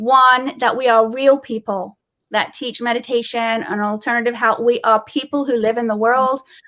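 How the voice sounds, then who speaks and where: A woman speaks at a moderate pace with a high, bright, sharp tone and monotone, flat intonation. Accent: British. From England. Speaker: comedian and meditation teacher. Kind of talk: casual chat.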